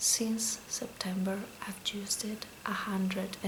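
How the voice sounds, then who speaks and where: A woman whispers in a soft-spoken manner at a very slow pace, with noticeable background noise. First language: Spanish. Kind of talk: ASMR makeup talk. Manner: soft-spoken, whispered.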